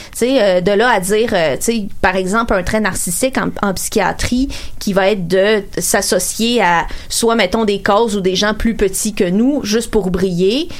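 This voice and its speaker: A woman's medium-pitched voice with ordinary pitch variation and noticeable background noise. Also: fairly slow pace. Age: 30s. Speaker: radio columnist. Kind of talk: casual chat.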